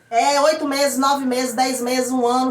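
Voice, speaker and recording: Noticeable background noise sits under the speech. The intonation stays monotone and flat. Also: woman. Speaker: parent vlogger. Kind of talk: casual explainer vlog. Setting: at home. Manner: fast.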